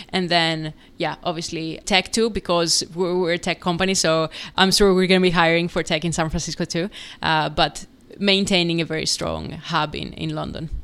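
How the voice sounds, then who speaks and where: A woman speaks in a Greek accent. Her intonation is monotone and flat. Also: fairly low pitch for a woman, moderate pace, very clean recording, silent background. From Greece. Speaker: startup founder and CEO. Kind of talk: podcast interview.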